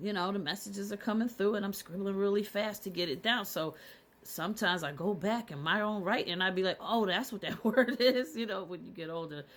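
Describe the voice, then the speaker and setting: A woman's medium-pitched voice, animated and fairly quick, with ordinary pitch variation on a very clean recording against a silent background. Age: 50s. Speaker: spiritual content creator. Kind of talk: casual vlog monologue. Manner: repetitive, halting.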